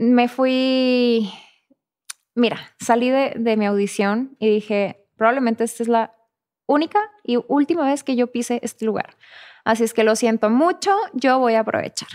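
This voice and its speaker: High-pitched female voice at a fairly slow pace, ordinary pitch variation, quiet background. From northern Mexico. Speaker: actress. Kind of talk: casual interview. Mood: animated, reflective storytelling. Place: studio. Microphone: studio mic.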